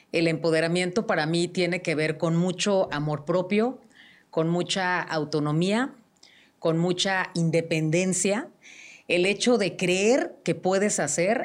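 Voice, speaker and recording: Speaking at a fairly slow pace, a woman has a fairly low pitch and ordinary pitch variation. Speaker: radio host. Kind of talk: interview. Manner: projecting; animated.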